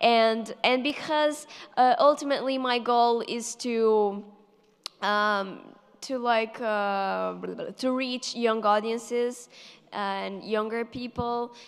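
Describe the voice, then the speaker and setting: A woman with a Portuguese accent, fairly high in pitch, at a very slow pace and with fairly even intonation. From Portugal. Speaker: math YouTuber. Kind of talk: panel Q&A. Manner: hesitant, many fillers.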